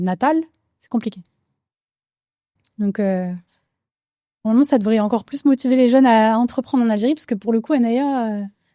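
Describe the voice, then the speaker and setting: Fairly high-pitched with a dark, mellow tone, a woman talks at a fairly quick pace, broken by long, frequent pauses, with ordinary pitch variation and big swings in loudness. The recording is very clean, with a silent background and dry, close sound with no echo. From France, Algerian family. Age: 30s. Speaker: cosmetics entrepreneur. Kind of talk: casual interview. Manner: many fillers, code-switching French and Arabic.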